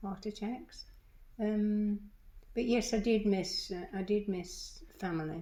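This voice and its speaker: At a very slow pace, a woman speaks in a medium pitch with a dark, mellow, somewhat breathy tone and ordinary pitch variation. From England. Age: 80s+. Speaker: retired librarian and storyteller. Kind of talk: interview. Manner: halting, many false starts.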